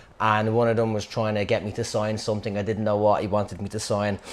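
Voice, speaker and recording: The speaker has a Dublin accent. The pace is fairly quick. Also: man. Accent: Dublin Irish. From Dublin, Ireland (Clondalkin). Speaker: storyteller. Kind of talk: personal anecdote. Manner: casual, halting with fillers.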